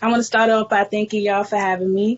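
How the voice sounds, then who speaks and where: At a moderate pace, a woman with an American accent speaks in a monotone, flat intonation at a fairly high pitch. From New York, the Bronx. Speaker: hip hop artist. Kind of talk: casual interview.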